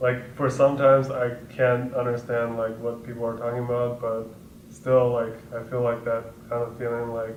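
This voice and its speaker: A man's monotone, flat delivery at medium pitch, with audible room echo and noticeable background noise. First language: not English. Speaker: graduating college student. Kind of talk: casual testimonial. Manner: halting, many fillers.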